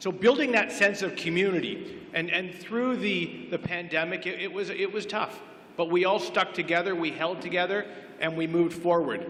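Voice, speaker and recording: This man's voice is high-pitched, with fairly even intonation at a moderate pace. Noticeable background noise runs underneath. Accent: Canadian. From Oak Ridges, Ontario, Canada. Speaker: incumbent councillor candidate. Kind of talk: candidate debate speech. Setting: public event with audience.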